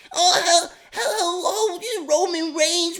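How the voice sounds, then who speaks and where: An extremely high-pitched, put-on character voice. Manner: mocking, simpering.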